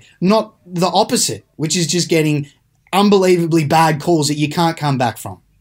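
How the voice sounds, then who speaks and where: A man with an Australian accent speaks at a moderate pace in a high voice, his pitch moving in an ordinary way. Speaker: rugby podcast co-host, journalist. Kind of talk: casual sports chat. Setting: remote, out of the studio.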